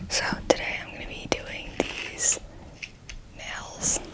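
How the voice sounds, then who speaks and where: The voice is a whisper. Background noise can be noticeably heard. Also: woman. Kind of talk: casual talk to camera, ASMR whisper ramble. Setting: close-mic, home recording at night. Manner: whispered, close to the microphone.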